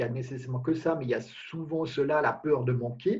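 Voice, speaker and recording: At a fairly quick pace, a man with a fairly high pitch talks in a somewhat breathy voice with fairly even intonation. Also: quiet background. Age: 50s. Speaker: life coach guest. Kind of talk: interview. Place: home room. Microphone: video call.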